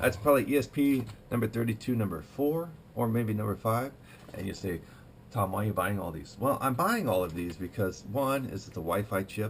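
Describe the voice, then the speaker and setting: This man's voice is somewhat breathy. His intonation is lively and his pace fairly quick. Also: fairly low pitch for a man. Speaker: tech hobbyist video maker and trainer. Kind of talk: casual tech show-and-tell. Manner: fast; halting, many fillers.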